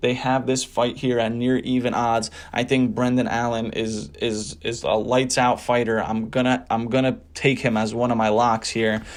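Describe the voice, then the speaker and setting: In a New Jersey accent, a man speaks at a medium pitch and moderate pace. His intonation is fairly even, and he takes hardly any pauses. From New Jersey, US. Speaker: sports betting tipster. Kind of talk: casual sports predictions commentary.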